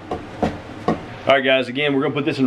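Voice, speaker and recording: A man talks fairly quickly while light background noise sits underneath. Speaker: family vlogger. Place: home room. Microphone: phone near.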